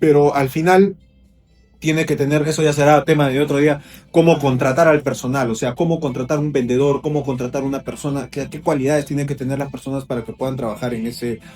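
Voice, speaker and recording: Speaking in a Peruvian accent, a man talks at a fairly quick pace with a fairly high pitch and fairly even intonation. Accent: Peruvian Spanish, noticeable to Ecuadorians. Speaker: real estate agent and developer. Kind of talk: interview. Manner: casual, many fillers and repetitions.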